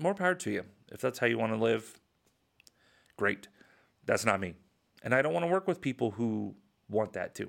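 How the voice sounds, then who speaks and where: The recording is very clean, with a silent background. A man at medium pitch talks at a fairly quick pace, with very wide pitch swings and long, frequent pauses. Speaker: real estate agent and podcast host. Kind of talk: solo podcast monologue. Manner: casual, conversational, opinionated.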